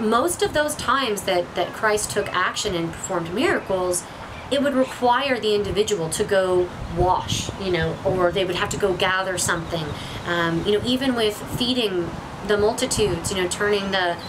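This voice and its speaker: Noticeable background noise runs through the clip. A woman speaks with ordinary pitch variation. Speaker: spiritual vlogger. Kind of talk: casual discussion about faith. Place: waterside. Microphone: camera far.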